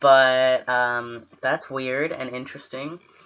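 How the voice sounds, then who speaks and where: A man at a medium pitch, speaking at a fairly slow pace over noticeable background noise. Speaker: vlogger. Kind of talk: personal video diary. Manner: halting, many fillers.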